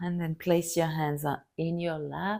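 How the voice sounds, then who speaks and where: In a very clean recording with a silent background, a woman with a French accent speaks at a fairly low pitch. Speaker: yoga teacher. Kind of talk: guided yoga class instruction. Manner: calm, gentle.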